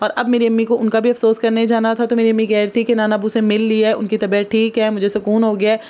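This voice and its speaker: The speech is monotone with flat intonation and very even loudness throughout. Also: woman, fairly high pitch for a woman. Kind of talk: family vlog narration. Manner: chatty, casual.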